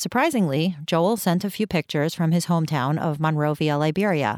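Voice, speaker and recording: In a plain, everyday voice, a woman with an American accent speaks at a moderate pace, her fairly low pitch carried by lively intonation, the sound dry and close with no echo on a very clean recording against a silent background. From Queens, New York, then Cleveland, Ohio. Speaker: podcast host. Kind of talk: scripted narration with personal stories. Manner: reflective, storytelling.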